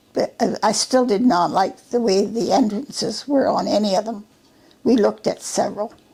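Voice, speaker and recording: In a Western Canadian accent, a woman with a fairly high pitch speaks at a moderate pace with ordinary pitch variation. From British Columbia, Canada. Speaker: retired service station owner. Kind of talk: oral history interview answer.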